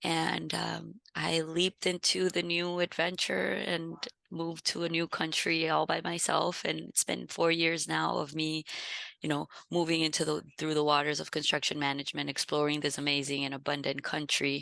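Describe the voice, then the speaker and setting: A woman talks at a moderate pace with a very deep, low pitch and fairly even intonation, her tone bright and sharp. The background is quiet. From Venezuela. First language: Spanish. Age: 30s. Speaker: architect, construction manager. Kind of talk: interview storytelling.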